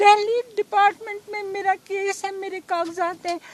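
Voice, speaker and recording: Amid noticeable background noise, a woman speaks at an extremely high pitch. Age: 70s. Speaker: long-term resident being deported. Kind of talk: street interview.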